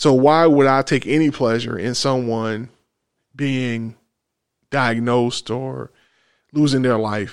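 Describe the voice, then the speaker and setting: A man with an American accent at a medium pitch for a man, fairly slow and fairly even in intonation, with long, frequent pauses, on a very clean recording with a silent background. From US South. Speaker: podcast host. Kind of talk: casual chat. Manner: measured.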